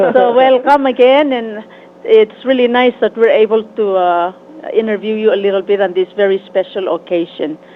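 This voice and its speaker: A woman talks with a fairly high pitch. Noticeable background noise is present. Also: ordinary pitch variation, moderate pace. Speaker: radio host. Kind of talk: interview.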